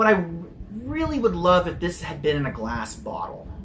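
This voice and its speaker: Over noticeable background noise, a man with an American accent speaks in an animated tone at a moderate pace with very wide pitch swings. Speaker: soda reviewer. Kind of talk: casual review chat.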